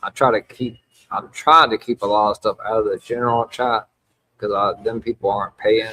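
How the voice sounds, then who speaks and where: A man speaks with a Louisiana accent. His pace is moderate. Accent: Louisiana Southern US. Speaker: wrestling podcast host. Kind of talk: live podcast recap chat. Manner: casual, halting with fillers.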